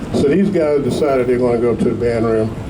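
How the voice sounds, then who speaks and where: A man with an American accent speaks at a medium pitch. The recording has audible room echo and noticeable background noise. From Washington DC. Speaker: musician. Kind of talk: honoree speech. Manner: conversational, with hesitations.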